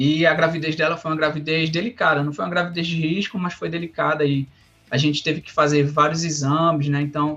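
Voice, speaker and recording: Fairly high-pitched and bright, sharp in tone, a man talks at a fairly quick pace. His intonation is monotone and flat. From Brazil, Rio Grande do Norte. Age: 30s. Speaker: software developer. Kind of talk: interview. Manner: halting, many fillers and repetitions.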